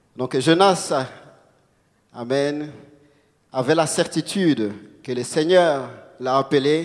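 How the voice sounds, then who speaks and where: A man speaks very slowly with long, frequent pauses. His pitch is fairly high, with ordinary variation. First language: not French (speaking French). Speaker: preacher. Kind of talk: sermon. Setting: church. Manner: halting.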